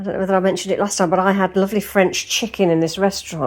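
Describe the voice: Plain reading aloud moves along with fairly even intonation.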